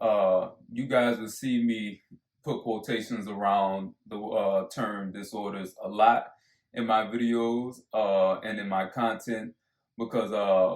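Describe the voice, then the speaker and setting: Flat and monotone, a man in an American accent talks at a very slow pace and a medium pitch. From US South, New Orleans, Louisiana. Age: 20s. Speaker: online video creator. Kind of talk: casual self-introduction monologue. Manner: halting, many fillers.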